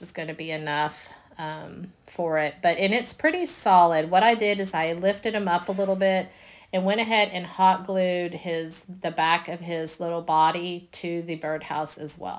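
A woman speaks in a Southern US accent at a moderate pace. Her pitch sits fairly low. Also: very clean recording, silent background. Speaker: DIY crafter. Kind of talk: tutorial. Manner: casual, hesitant with fillers.

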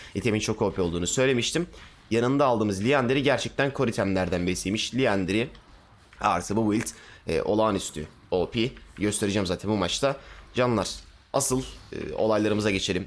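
Speaking at a fairly quick pace, a man with a fairly low pitch sounds animated, his pitch varying in an ordinary way. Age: 20s. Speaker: gaming streamer. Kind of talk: casual chat. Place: home room. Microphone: headset.

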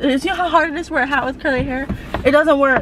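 A woman's voice comes with noticeable background noise. The sound is dry, with no echo. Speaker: vlogger. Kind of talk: casual vlog chat. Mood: playful, chatty. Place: car. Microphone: camera far.

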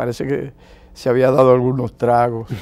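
The man talks at a fairly slow pace in a dark, mellow tone. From Dominican Republic. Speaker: diplomat and religious leader; interview guest. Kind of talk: interview. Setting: TV studio. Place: studio.

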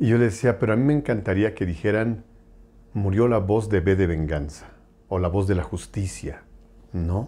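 With long, frequent pauses, a man talks at a moderate pace in a dark, mellow tone and ordinary pitch variation. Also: fairly low pitch for a man. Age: 50s. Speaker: voice actor. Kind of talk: interview. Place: home room. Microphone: lapel.

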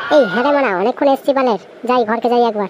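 A cartoonish character voice, female-sounding and fairly high in pitch, moves at a fairly quick pace. Clear background noise can be heard. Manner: slurred, comically defensive.

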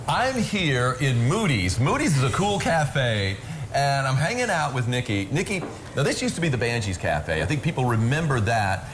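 Over music in the background, a man speaks at a moderate pace. His pitch swings very widely. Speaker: TV food segment host. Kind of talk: interview chat. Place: cafe.

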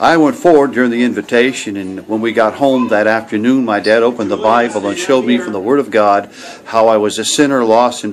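Speech moves at a fairly quick pace with ordinary pitch variation over light background noise. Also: man. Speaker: missionary evangelist. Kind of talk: personal religious testimony. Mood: earnest, grateful. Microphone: webcam.

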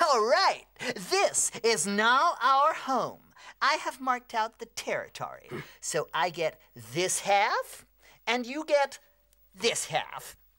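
A put-on character voice, female-sounding and high-pitched, fairly slow with long, frequent pauses, on a very clean recording with a silent background. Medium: comedy sketch.

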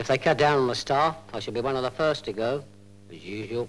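An ordinary speaking voice moves at a fairly quick pace with ordinary pitch variation and big swings in loudness, set against a quiet background. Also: man, medium pitch for a man. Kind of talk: film trailer voice-over.

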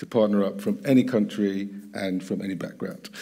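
This is a man speaking with a British accent. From UK. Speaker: panel moderator. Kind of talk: panel discussion. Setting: stage with audience. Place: stage. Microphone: headset.

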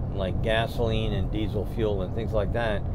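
A man talks through loud background noise. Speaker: road trip host. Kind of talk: casual conversation. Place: car. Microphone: camera far.

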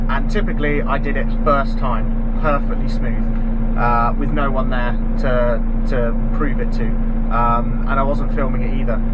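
Someone speaks at a fairly slow pace against loud background noise. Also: man. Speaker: farmer vlogger. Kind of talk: casual vlog chat. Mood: cheerful, self-deprecating. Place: farm machine. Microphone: phone near.

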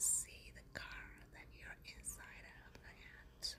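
A woman at a very slow pace against loud background noise. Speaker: ASMR creator. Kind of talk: casual talk to camera, ASMR show and tell. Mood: excited, enthusiastic. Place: car. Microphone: phone near.

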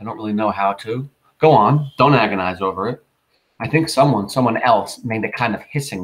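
A quiet background behind plain reading aloud

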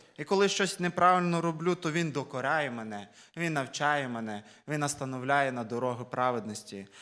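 Bright and sharp in tone, a man talks at a moderate pace with lively intonation and a fairly high pitch. The recording is very clean with a silent background. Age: 20s. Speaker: preacher. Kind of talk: sermon.

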